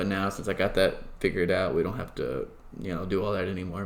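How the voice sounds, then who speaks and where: Talking at a very fast pace, a man with a Southern US accent has a fairly low pitch. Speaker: podcast host and esports team organizer. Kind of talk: casual chat.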